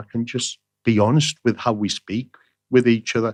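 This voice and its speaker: With a Teesside accent, the speaker talks at a moderate pace with ordinary pitch variation in a dry, close sound with no echo. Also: man. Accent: broad Middlesbrough. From northern England, Middlesbrough (Teesside). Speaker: playwright and screenwriter. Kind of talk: interview conversation. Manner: repeats words, hesitant restarts.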